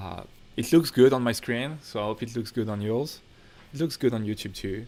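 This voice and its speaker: This man speaks with a French accent. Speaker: filmmaker and YouTuber. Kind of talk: livestream Q&A. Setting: home studio livestream. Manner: casual, relaxed. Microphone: technical issues on the stream.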